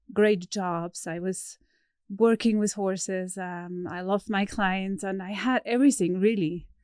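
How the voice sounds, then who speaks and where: With a Swiss German accent, a woman speaks fairly slowly at a medium pitch, her intonation fairly even and her loudness swinging widely, in a very clean recording with a silent background. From Switzerland. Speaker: horse trainer. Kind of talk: podcast interview. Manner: hesitant, with fillers.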